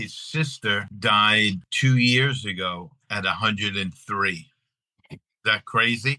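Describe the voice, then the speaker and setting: Very slow speech in an American accent with a bright, sharp tone, big swings in loudness and ordinary pitch variation. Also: man, fairly low pitch for a man. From Long Island, New York. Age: 60s. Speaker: actor and bakery owner. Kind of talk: casual interview chat.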